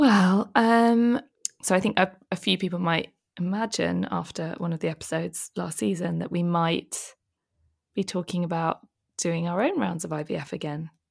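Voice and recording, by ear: A woman's fairly low voice in a British accent, at a moderate pace with ordinary pitch variation, on a very clean recording with a silent background.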